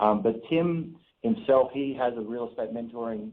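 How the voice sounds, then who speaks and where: This is a man with an Australian accent. His pitch sits at a medium level. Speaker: real estate investor. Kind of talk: radio interview. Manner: many fillers and restarts.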